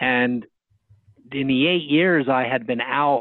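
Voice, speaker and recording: A man talks at a very slow pace. His pitch is medium. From New Jersey. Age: 60s. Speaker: dentist and speaker. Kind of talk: interview.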